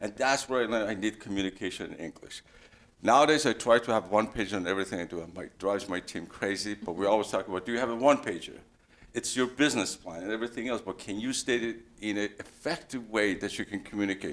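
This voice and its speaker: Talking at a very fast pace, a man with a non-native accent uses ordinary pitch variation. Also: fairly low pitch for a man. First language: not English. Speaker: engineer, career panelist. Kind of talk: panel discussion. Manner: halting.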